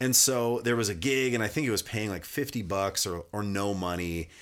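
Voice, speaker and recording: In a very clean recording with a silent background, a man with an American accent and an unremarkable speaking voice talks at a fairly quick pace. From US, rural Montana (Kalispell). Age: 40s. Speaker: musician. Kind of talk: casual chat. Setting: studio.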